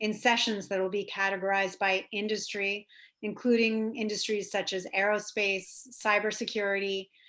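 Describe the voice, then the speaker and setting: In a quiet background, a woman speaks at a medium pitch with fairly even intonation. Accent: American. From New York. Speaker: government trade officer. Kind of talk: presentation. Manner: fast.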